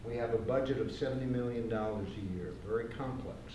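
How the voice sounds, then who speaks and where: Noticeable background noise and audible room echo surround a man speaking at a medium pitch with fairly even intonation. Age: 70s. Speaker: retired business executive, audience questioner. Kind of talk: public forum question.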